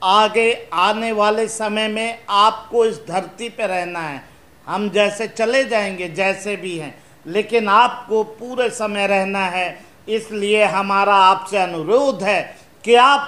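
A man speaks at a very slow pace in a raised, projected voice with a bright, sharp tone. His pitch varies in an ordinary way. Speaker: presenter. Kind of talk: explanatory talk to children. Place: studio.

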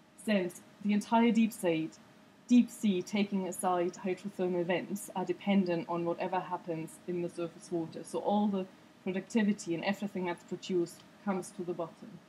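The speech moves at a fairly quick pace. Light background noise sits behind it. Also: woman, fairly even intonation. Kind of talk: lecture. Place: hall.

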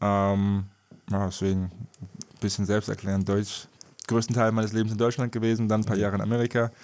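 Pitched fairly low, a man speaks in a monotone with flat intonation. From Wiesbaden, Germany. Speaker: professional basketball player. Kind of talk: interview.

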